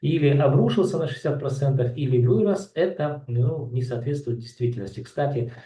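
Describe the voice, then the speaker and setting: A man's somewhat breathy voice, medium in pitch with a dark, mellow tone, moves at a moderate pace with ordinary pitch variation amid audible room echo. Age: 60s. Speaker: real estate analyst. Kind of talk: market analysis commentary. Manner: halting, many filler sounds.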